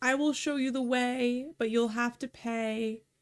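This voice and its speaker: At a fairly slow pace, a woman puts on a character voice at a high pitch. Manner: irritating.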